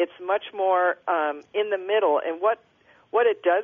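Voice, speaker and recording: A woman with an unremarkable speaking voice, medium pitch and an American accent. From Minnesota, Minneapolis. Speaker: author. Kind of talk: interview.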